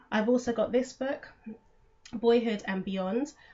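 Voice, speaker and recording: A woman with a British accent sounds somewhat breathy, with ordinary pitch variation. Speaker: homeschooling parent and vlogger. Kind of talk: casual vlog explanation. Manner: fast; hesitant with fillers.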